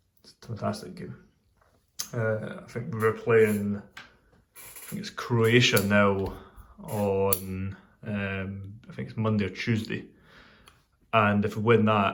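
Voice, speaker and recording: Very slow speech in a Scottish accent, with long, frequent pauses and big swings in loudness. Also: man. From Scotland. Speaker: pipe smoking video host. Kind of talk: casual chat. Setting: workshop.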